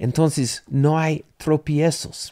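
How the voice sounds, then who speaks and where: Speaking at a very slow pace, a man has a dark, mellow tone. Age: 60s. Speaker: pastor. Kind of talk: bible study.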